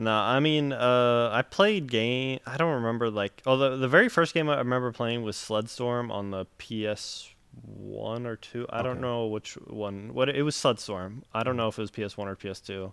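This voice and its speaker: A man speaks with an American accent at a moderate pace. His pitch is medium, with ordinary variation. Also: hardly any pauses. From Florida, later North Carolina from 13. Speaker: gaming streamer. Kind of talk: casual interview. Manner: quiet, reserved; hesitant, filler-heavy.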